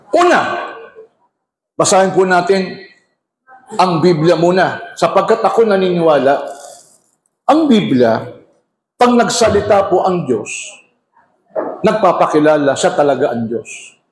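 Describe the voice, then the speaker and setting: Pitched high, a man uses lively intonation at a fairly slow pace with long, frequent pauses, and audible room echo surrounds his voice. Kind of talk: religious debate. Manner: loud; animated.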